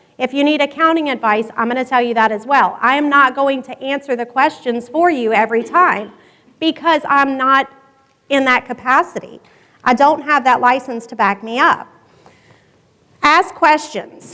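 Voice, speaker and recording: At a moderate pace, the speaker uses a raised, projected voice with ordinary pitch variation. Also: woman, high pitch for a woman. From Louisiana. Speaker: public insurance adjuster. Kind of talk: conference presentation.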